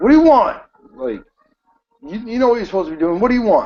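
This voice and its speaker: A gruff, put-on character voice from a man, pitched extremely high and delivered at a very fast pace. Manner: suspicious, demanding.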